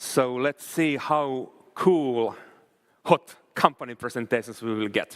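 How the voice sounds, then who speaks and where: A man with a Finnish accent speaks at a medium pitch with ordinary pitch variation. The sound is dry and close, with no echo. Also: fairly slow pace. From Finland. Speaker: event host. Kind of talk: event hosting.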